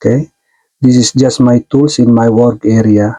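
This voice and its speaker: A man speaks at a fairly slow pace, his medium-pitched voice dark and mellow. His intonation stays monotone and flat. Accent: non-native. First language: not English. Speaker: tech tutorial youtuber, stage lighting technician. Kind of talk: tutorial. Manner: halting, many fillers.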